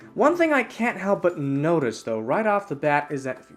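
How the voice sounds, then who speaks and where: At a fairly brisk speed, the voice carries on with music audible behind it. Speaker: toy reviewer. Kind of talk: unboxing review. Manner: animated.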